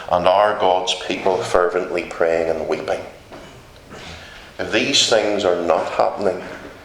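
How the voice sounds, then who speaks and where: Speaking in a Northern Irish accent, a man with a very deep, low pitch talks at a fairly slow pace with long, frequent pauses and fairly even intonation, amid noticeable background noise and audible room echo. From Northern Ireland. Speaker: visiting preacher. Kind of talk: sermon. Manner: emphatic.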